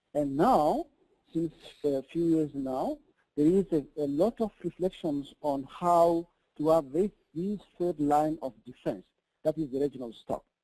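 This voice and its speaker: In a dry, close sound with no echo, a man with a dark, mellow tone talks at a fairly slow pace. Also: fairly high pitch for a man, ordinary pitch variation. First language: French. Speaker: researcher and advocate on food security. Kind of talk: webinar presentation. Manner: halting, many fillers.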